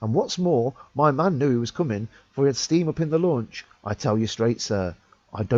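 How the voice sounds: The speaker reads in a natural reading voice with lively intonation.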